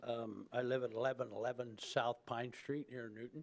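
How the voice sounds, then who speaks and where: A man speaks at a fairly quick pace. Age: 60s. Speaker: resident speaking at public hearing. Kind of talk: public comment. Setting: city commission meeting.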